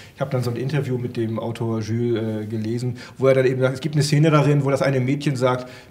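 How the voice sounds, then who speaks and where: This man talks at a very fast pace with fairly even intonation. His voice is somewhat breathy. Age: 50s. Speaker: comic expert and comic shop owner; comic expert, comic shop owner. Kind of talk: casual chat. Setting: studio with audience. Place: studio. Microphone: handheld.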